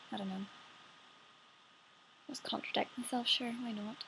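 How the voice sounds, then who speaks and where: A woman's fairly high voice in a Northern Irish accent, with ordinary pitch variation. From Northern Ireland. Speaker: actress. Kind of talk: casual talk to camera.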